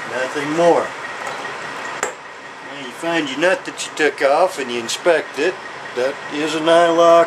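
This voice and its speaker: A man with a Southern US accent talks at a very slow pace, with ordinary pitch variation. Noticeable background noise is present. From US South. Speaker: motorcycle mechanic. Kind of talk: tutorial. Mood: gruff, profane, folksy. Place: workshop.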